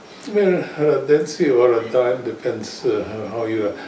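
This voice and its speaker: A man at medium pitch talks at a fairly slow pace. Room echo is audible, and background noise is noticeable. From Austria (Graz). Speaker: war veteran. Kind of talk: interview. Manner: hesitant, many fillers.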